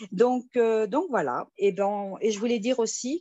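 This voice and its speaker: A woman's fairly high voice, with ordinary pitch variation, moves along at a very slow pace. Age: 60s. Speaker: retired nurse, investment scheme member. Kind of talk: testimony. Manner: halting, many hesitations.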